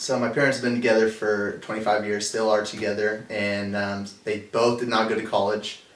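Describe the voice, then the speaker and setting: With an American accent, a man speaks in fairly even intonation. Audible room echo and noticeable background noise fill the recording. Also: fairly low pitch for a man, moderate pace, hardly any pauses. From Napa Valley, California. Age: 20s. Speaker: college student. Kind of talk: interview.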